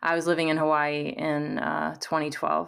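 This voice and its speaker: A woman's very deep, low voice in an American accent, with monotone, flat intonation. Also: very clean recording, silent background. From US Midwest, southern Missouri. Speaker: career coach. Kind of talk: casual interview conversation.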